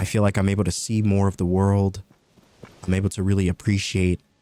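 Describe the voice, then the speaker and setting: A man's fairly low, relaxed voice at a fairly quick pace, dry and close with no echo, over music in the background. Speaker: gaming commentator. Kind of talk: let's play commentary. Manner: relaxed cozy commentary.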